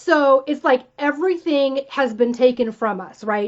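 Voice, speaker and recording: A woman speaks with an animated tone. Her pitch varies in an ordinary way. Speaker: wellness coach. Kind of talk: live-streamed talk. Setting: live video stream. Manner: fast.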